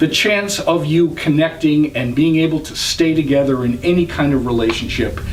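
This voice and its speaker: A man speaks at a moderate pace and a fairly high pitch with ordinary pitch variation, while room echo is audible and background noise is noticeable. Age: 60s. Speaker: vlogger. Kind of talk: advice vlog.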